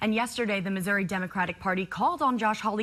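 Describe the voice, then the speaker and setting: A woman with an American accent, medium in pitch, with ordinary pitch variation. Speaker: TV news anchor and journalist. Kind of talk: TV news anchor read. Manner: clear, professional, brisk.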